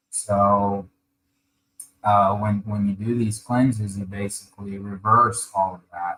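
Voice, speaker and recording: Soft-spoken and fairly low-pitched, a man talks at a fairly slow pace in a bright, sharp tone with monotone, flat intonation. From Ukraine, moved to US at age eight. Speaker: colon hydrotherapist, wellness practitioner. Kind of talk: podcast interview. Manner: halting, many fillers. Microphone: too quiet, far from the mic.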